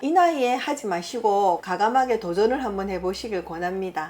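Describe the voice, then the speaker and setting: Music plays in the background while a woman speaks at a medium pitch. She has a Busan accent and lively intonation. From Busan, South Korea. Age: 50s. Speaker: shaman fortune teller. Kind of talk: fortune-telling interview answer. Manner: frank, matter-of-fact.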